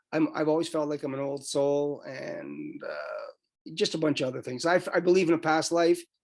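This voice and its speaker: A moderate pace, a Canadian accent and ordinary pitch variation. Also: man. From Canada. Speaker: author. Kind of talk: interview. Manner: halting.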